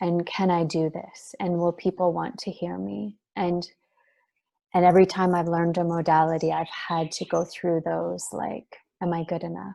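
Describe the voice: Soft-spoken, a woman talks with a fairly low pitch, a dark, mellow tone, vocal fry and little pitch movement. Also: moderate pace.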